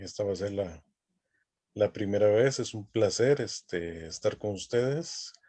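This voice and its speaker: A man speaks in a Costa Rican accent. His voice sits fairly low, with a dark, mellow tone. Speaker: academic dean and youth ministry lecturer. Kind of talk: online lecture.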